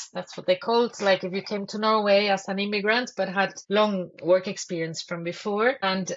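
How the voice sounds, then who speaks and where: A medium-pitched woman speaks with a Spanish accent at a moderate pace. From Spain. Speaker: social services director. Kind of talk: podcast interview. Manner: halting.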